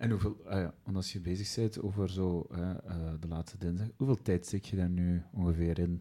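At a moderate pace, a man with a Flemish accent speaks in a very deep, low pitch with a dark, mellow tone. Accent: Flemish Dutch. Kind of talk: casual chat.

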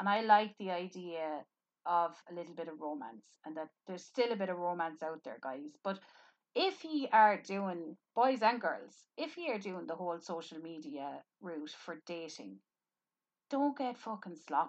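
Speaking at a fairly slow pace, a woman with a fairly low pitch uses lively intonation and big swings in loudness. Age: 30s. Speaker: podcast host. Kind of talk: casual chat. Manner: frank.

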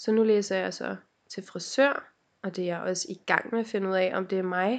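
Here is a woman with an unremarkable speaking voice at a medium pitch. She talks at a fairly slow pace with ordinary pitch variation. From Denmark, North Zealand (Helsinge). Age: 20s. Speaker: podcast co-host. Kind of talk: casual chat. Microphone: laptop microphone.

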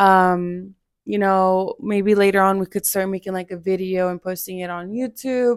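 With an unremarkable speaking voice, a woman talks at a moderate pace and medium pitch with fairly even intonation, in a very clean recording with a silent background. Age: 20s. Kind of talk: casual testimony.

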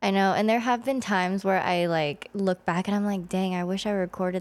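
An unremarkable speaking voice from a woman at a medium pitch, with a fairly quick pace and fairly even intonation. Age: 20s. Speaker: nurse. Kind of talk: casual chat.

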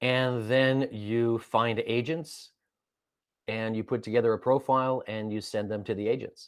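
A man speaks at a fairly slow pace, with a medium pitch and fairly even intonation. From California. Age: 50s. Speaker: voice actor and narrator. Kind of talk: interview. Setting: video call. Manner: halting.

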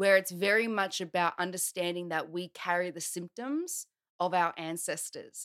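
In an Australian accent, a woman speaks at a moderate pace with a fairly low pitch. The sound is dry and close with no echo, in a very clean recording with a silent background. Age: 30s. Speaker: transformational coach. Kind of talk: casual chat.

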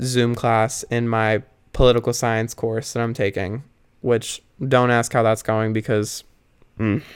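A man with a medium-pitched voice talks at a fairly slow pace on a very clean recording with a silent background. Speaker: solo podcaster. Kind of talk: casual monologue. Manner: rambling with many fillers.

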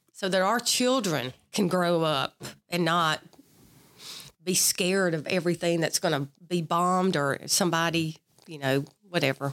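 A woman's fairly low voice in a Mississippi accent, at a moderate pace, with ordinary pitch variation. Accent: Southern US (Mississippi). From US South, south Mississippi (Perry County). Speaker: retired army colonel and veterans board member. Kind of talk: interview about her military career.

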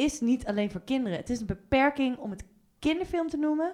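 A woman is speaking. Her pitch swings very widely. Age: 20s. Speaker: film club founder. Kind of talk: casual chat.

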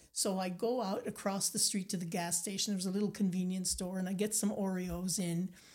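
A woman's somewhat breathy, medium-pitched voice in an Acadian accent, with hardly any pauses. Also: fairly quick pace. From Nova Scotia, Acadian community. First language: Acadian French. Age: 60s. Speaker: painter and storyteller. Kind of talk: casual interview. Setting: studio. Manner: animated.

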